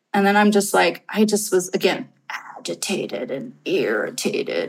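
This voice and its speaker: Medium in pitch and somewhat breathy, a woman speaks at a fairly slow pace. She has an American accent. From California Bay Area. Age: 50s. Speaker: investment advisor. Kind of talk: personal testimony.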